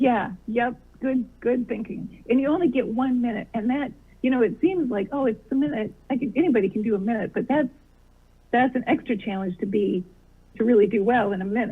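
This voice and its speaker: Her pitch is fairly high with ordinary variation, and she talks at a fairly quick pace. The woman has an American accent and a plain, everyday voice. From US Midwest. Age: 60s. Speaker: comedian. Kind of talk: interview.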